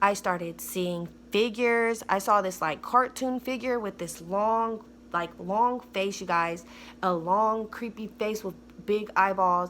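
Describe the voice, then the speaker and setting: Recorded very cleanly over a silent background, a woman with a plain, everyday voice speaks at a medium pitch with ordinary pitch variation. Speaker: vlogger telling personal story. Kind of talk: storytime monologue.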